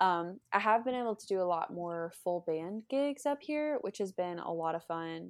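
A woman with an American accent has an ordinary speaking voice, a fairly low pitch and lively intonation. The recording is very clean, with a silent background. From US South, northern Florida. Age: 20s. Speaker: country singer-songwriter. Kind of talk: casual interview chat.

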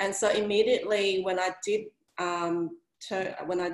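A woman with an Australian accent speaks at medium pitch in a monotone, flat intonation. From Sydney, Australia (Vietnamese family). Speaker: career coach. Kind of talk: casual interview. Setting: video call.

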